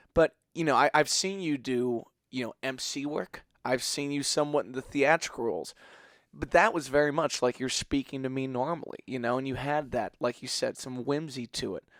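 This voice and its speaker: A man with a fairly high pitch mumbles, the sound dry and close with no echo. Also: ordinary pitch variation, moderate pace, very clean recording, silent background. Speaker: podcast host and musician. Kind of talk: casual interview chat. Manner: mumbles a lot.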